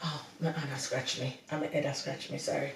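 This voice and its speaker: A woman speaks with a Jamaican accent. Audible room echo and noticeable background noise surround her voice. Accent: Jamaican English, patois slips. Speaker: podcast co-host, wife. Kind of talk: casual chat. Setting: video podcast recording.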